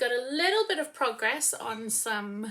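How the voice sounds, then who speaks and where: Mumbled speech with a bright, sharp tone and lively intonation. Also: woman. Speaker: knitting podcaster. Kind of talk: casual chat. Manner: tends to mumble; projecting loudly. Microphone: no microphone, built-in mic.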